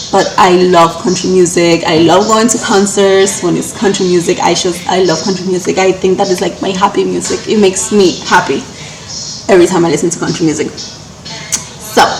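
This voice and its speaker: A woman at a medium pitch and moderate pace, fairly even intonation, with noticeable background noise and audible room echo. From Cuba. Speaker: lifestyle vlogger. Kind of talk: casual Q&A vlog while baking.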